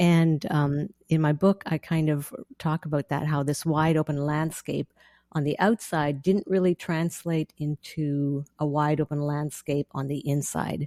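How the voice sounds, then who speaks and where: A woman with a slight Canadian accent speaks at a very deep, low pitch and a fairly slow pace, her tone dark and mellow and her intonation fairly even. The sound is dry and close with no echo, in a very clean recording with a silent background. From central Canada prairies. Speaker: author and theologian. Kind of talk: podcast interview.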